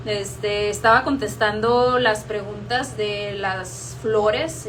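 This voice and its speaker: A woman's speech comes with noticeable noise behind it and an audible echo off the room. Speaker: horticulture educator. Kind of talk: live stream tutorial. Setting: live stream.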